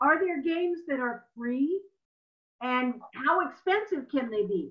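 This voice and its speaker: A woman speaks at a moderate pace with ordinary pitch variation against a quiet background. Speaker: webinar moderator. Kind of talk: webinar moderation. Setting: video call. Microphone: video call.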